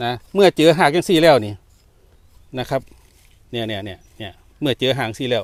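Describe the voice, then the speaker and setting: With an Isan accent, a man talks at medium pitch and with lively intonation. The sound is dry and close with no echo. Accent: Isan-accented Thai. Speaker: retired civil servant, forest garden owner. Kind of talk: casual interview.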